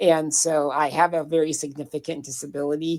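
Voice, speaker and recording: This woman has a very deep, low pitch and an American accent, recorded with a dry, close sound and no echo. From US Midwest, southwestern Minnesota. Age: 60s. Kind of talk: interview conversation.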